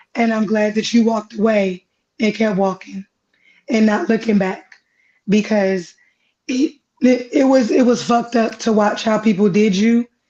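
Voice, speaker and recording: A dark, mellow, somewhat breathy tone at a moderate pace, with ordinary pitch variation. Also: woman. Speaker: fellow content creator. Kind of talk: casual chat.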